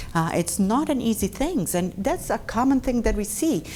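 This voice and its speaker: A dark, mellow voice with a Brazilian Portuguese accent, very wide pitch swings and a moderate pace. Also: woman. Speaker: dentist. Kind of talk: lecture. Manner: conversational.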